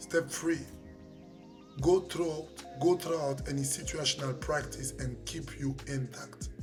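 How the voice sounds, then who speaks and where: A man with a French accent at a fairly slow pace, with long, frequent pauses and music in the background. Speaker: life coach, professional boxer. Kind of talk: motivational talk to camera.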